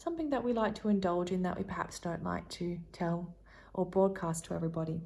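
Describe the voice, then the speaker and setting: A woman talks in a soft-spoken way. Her voice is somewhat breathy. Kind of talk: tarot reading, casual talk to camera. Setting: ASMR-style recording. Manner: soft-spoken, rambling, friendly.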